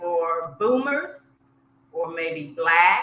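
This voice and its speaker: Recorded with audible room echo, a woman with an American accent speaks at a fairly low pitch with ordinary pitch variation. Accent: Southern US, fading. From US South, South Georgia. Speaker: expat travel coach. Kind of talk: casual interview chat.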